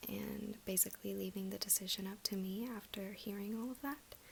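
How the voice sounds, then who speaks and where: A soft-spoken woman talks at a moderate pace in a relaxed tone. Her voice is somewhat breathy. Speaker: ASMR creator. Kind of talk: ASMR story time, casual talk to camera. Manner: soft-spoken, relaxed.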